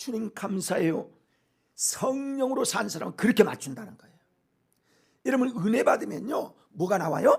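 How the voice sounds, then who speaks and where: A high-pitched man with lively intonation and long, frequent pauses. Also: moderate pace, big swings in loudness. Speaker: pastor. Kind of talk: sermon. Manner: animated.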